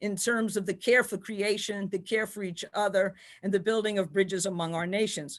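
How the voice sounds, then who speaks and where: The speaker is a woman. She talks with a New York accent. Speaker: theology professor. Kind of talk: panel lecture.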